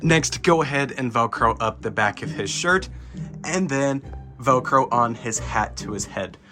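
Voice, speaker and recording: Music can be heard behind the speaker. His intonation is lively, and the voice is a man's. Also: medium pitch for a man, fairly slow pace. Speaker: Halloween prop reviewer. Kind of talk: product unboxing and setup narration.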